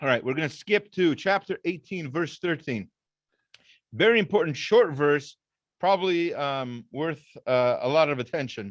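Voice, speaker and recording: A man's fairly high-pitched voice at a moderate pace over a quiet background. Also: lively intonation. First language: not English. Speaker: rabbi teaching a weekly Torah class. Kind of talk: lecture. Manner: halting, many fillers and restarts.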